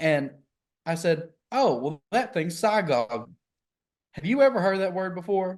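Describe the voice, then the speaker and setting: In an Appalachian accent, a man speaks at a high pitch with very wide pitch swings. His pace is fairly slow, broken by long, frequent pauses. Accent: country, Appalachian. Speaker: podcast co-host, healthcare worker. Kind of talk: casual chat.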